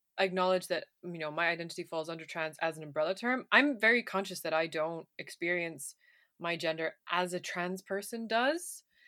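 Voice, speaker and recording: A woman speaks at a moderate pace in a fairly low pitch with a bright, sharp tone. Her pitch varies in an ordinary way on a very clean recording with a silent background. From Ireland. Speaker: podcast co-host. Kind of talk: casual chat.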